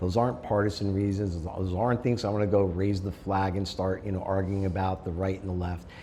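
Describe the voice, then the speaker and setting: In a normal speaking voice, a man talks at a fairly quick pace with a fairly low pitch. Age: 60s. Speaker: school board candidate. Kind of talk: interview. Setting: sit-down interview in person.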